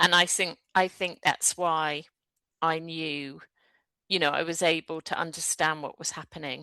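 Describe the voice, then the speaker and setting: Over a quiet background, a woman with a British accent speaks at a fairly low pitch and fairly slow pace, her tone bright and sharp, her intonation monotone and flat, in a dry, close sound with no echo. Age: 60s. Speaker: energy therapist, former solicitor. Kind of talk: interview conversation.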